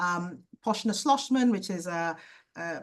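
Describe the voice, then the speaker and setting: Against a quiet background, a woman speaks with lively intonation in a somewhat breathy voice. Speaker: ophthalmologist teaching optometrists. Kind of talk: lecture. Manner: fast.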